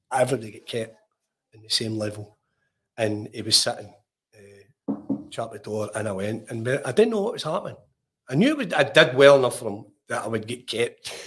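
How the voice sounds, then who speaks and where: A man with a Lanarkshire accent talks at a fairly quick pace, his voice medium in pitch and somewhat breathy. Pitch variation is ordinary, loudness swings widely, and long pauses come often. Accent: Scottish (Lanarkshire). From Scotland, Lanarkshire (Ashgill, near Larkhall). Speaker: former professional footballer. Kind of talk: casual interview.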